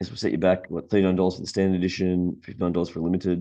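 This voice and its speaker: At a very fast pace, a man speaks with an Australian accent and a very deep, low pitch. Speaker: board game youtuber. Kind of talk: casual product roundup. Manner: hesitant, many fillers.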